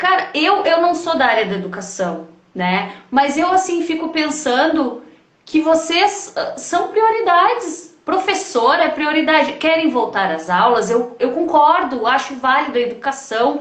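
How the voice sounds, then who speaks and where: At a fairly slow pace, a woman speaks in a high pitch with very wide pitch swings and a slight gaúcho accent. Noticeable background noise and audible room echo surround her voice. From Rio Grande do Sul, Brazil. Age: 40s. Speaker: project founder and live host. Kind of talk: casual chat. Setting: live stream.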